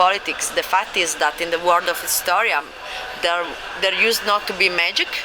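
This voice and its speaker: A woman with a non-native accent speaks with fairly even intonation over noticeable background noise. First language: not English. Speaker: game publisher. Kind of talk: convention interview. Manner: halting.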